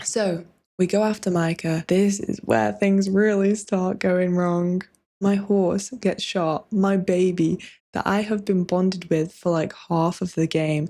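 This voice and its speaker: In a very clean recording with a silent background, a soft-spoken woman talks at a fairly slow pace and a medium pitch, her tone dark and mellow, her intonation fairly even and her loudness very even. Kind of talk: casual talk to camera, video essay game review.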